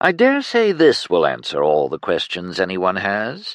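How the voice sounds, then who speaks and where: A man performs a put-on character voice. He keeps a moderate pace. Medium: read story. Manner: smug, cool.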